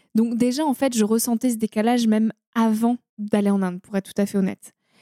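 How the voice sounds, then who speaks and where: A woman's fairly high-pitched voice with a dark, mellow tone and fairly even intonation, in a dry, close sound with no echo. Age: 20s. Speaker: environmental storyteller and podcaster. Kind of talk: interview conversation. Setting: recorded in person in a holiday house near the ocean. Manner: hesitant, with fillers and repetitions.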